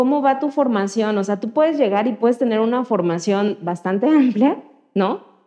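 A woman with a plain, everyday voice talks at a fairly high pitch with ordinary pitch variation. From Mexico, Guerrero (Chilpancingo). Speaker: computer engineer, data science community organizer. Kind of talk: interview. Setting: studio.

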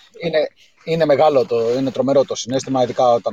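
A man talks at a very fast pace over noticeable background noise, with a dry, close sound and no echo. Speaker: caller. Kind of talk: casual chat. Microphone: voice sounds hollow, poor line at first.

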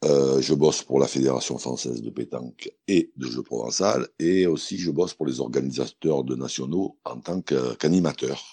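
A man with a very deep, low pitch and a dark, mellow tone speaks at a moderate pace with hardly any pauses, vocal fry and ordinary pitch variation, in a dry, close sound with no echo. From southern France, Montélimar. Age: 50s. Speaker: pétanque player and TV pundit. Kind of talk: interview.

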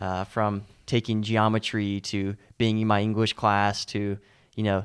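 The recording is very clean with a silent background. A man speaks at a fairly low pitch in a monotone, flat way. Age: 20s. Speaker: podcast co-host and coach. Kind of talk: casual chat.

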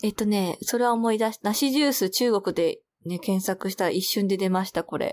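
On a very clean recording with a silent background, a woman of medium pitch speaks at a moderate pace with very even loudness and ordinary pitch variation. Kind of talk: casual chat.

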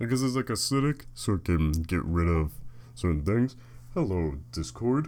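Speaking at a moderate pace, a man with a very deep, low pitch makes very wide pitch swings while his loudness stays very even. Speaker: podcaster. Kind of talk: casual solo monologue. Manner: rambling, hesitant with fillers.

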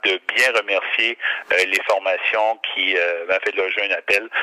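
The audio is dry and close, with no echo. A man talks at a fairly slow pace. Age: 50s. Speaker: regional politician. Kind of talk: interview. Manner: halting.

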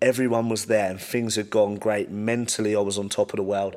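A man speaks with a fairly low pitch. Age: 20s. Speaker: professional boxer. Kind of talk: casual chat. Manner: halting.

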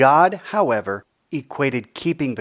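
This man talks at a fairly slow pace with a fairly high pitch and very wide pitch swings. The recording is very clean, with a silent background. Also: dry, close sound with no echo. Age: 40s. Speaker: author reading his own book. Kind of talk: reading aloud.

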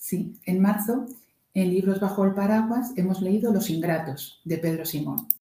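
Heard with audible room echo, a woman speaks at a medium pitch and a fairly slow pace. Her voice is somewhat breathy, with a dark, mellow tone. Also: ordinary pitch variation. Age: 60s. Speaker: guest, host's mother. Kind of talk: casual chat about a book.

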